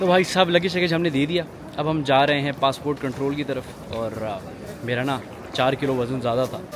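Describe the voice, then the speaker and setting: A fairly high-pitched man's voice with ordinary pitch variation, amid noticeable background noise. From Pakistan. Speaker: travel vlogger. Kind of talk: casual vlog narration. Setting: airport and airplane.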